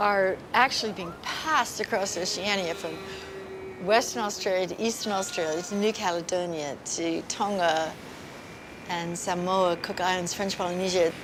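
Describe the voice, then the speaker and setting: Long, frequent pauses break up a woman's medium-pitched speech. Noticeable background noise and audible room echo fill the recording. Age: 60s. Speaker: marine scientist and conservationist. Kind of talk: documentary interview. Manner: animated.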